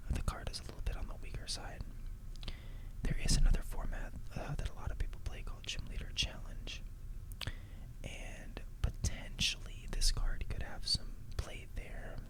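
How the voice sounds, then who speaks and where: Over noticeable background noise, a man whispers at a moderate pace with long, frequent pauses. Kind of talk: ASMR card pack opening commentary. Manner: soft-spoken, whispered.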